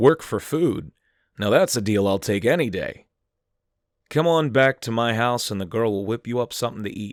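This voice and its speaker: In an ordinary speaking voice with medium pitch and lively intonation, a man talks at a moderate pace, the sound dry and close with no echo on a very clean recording with a silent background. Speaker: horror story narrator / YouTube creepypasta reader. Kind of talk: horror story narration, creepypasta reading.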